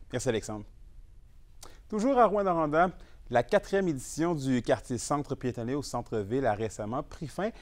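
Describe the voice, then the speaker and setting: A man with a Quebec accent speaks at a moderate pace and a fairly high pitch, with very wide pitch swings and long, frequent pauses. The recording is very clean, with a silent background. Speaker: news anchor. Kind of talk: formal newsreading. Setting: studio. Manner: formal.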